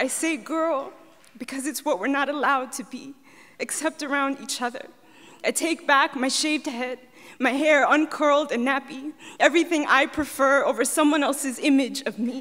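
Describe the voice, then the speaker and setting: Her tone bright and sharp, a woman with an American accent speaks at a high pitch and a moderate pace with fairly even intonation. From US. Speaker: poet. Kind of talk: spoken word poetry performance. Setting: stage with audience. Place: stage. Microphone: handheld.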